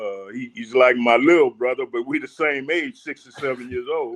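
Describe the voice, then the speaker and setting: A man talks at a fairly quick pace with an American accent. His pitch varies in an ordinary way. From New Orleans, Louisiana (Ninth Ward). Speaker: community elder. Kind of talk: interview.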